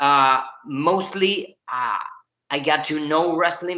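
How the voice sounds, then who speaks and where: Lively intonation in a Spanish accent. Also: man. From Argentina, Buenos Aires. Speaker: professional wrestler. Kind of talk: interview. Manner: halting, many fillers and restarts.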